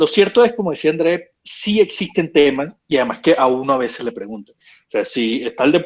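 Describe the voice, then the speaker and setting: Hardly pausing, a man with a fairly high pitch moves at a moderate pace, his voice making very wide pitch swings and big swings in loudness. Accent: Venezuelan. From Venezuela. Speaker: sports lawyer. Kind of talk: casual panel talk.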